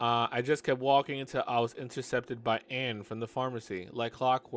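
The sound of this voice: The speaker reads in an unforced voice, holding the intonation fairly even.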